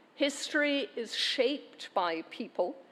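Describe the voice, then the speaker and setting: A woman with a Glaswegian accent speaks at a very slow pace. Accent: Glaswegian Scottish. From Scotland, Glasgow. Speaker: university chancellor. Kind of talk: ceremonial speech. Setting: graduation ceremony hall with audience. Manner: formal.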